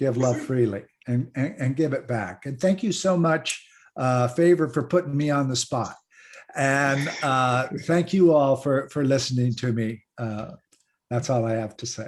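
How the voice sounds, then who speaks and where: With a normal speaking voice, a man talks fairly slowly at a medium pitch, his pitch varying in an ordinary way. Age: 60s. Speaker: panelist in an online discussion. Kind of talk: online panel discussion.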